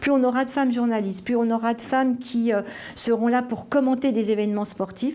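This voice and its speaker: The woman's voice sits fairly high in pitch. She keeps a moderate pace and fairly even intonation. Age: 60s. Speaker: sports official and former cyclist. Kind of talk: interview testimony. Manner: halting, many fillers.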